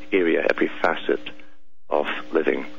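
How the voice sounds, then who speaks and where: Noticeable background noise sits behind a man speaking in a Scottish accent. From Scotland. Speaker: radio host. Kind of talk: talk radio monologue.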